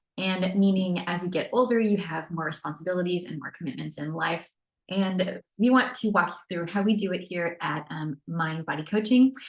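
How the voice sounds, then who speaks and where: Fairly low, somewhat breathy female voice, moderate in pace and ordinary in pitch variation. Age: 40s. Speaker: fitness coach. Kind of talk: webinar presentation. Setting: screen-share webinar recording.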